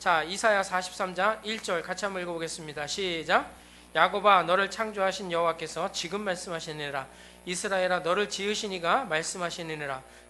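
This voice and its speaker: A man's high-pitched voice, fairly quick and fairly even in intonation, against noticeable background noise. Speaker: pastor. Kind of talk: sermon. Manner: fast.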